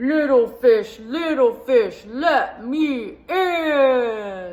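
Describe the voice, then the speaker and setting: Very slowly, someone talks in a put-on character voice. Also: woman, high pitch for a woman. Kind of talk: children's story time read-aloud. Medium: read story. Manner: upbeat, animated.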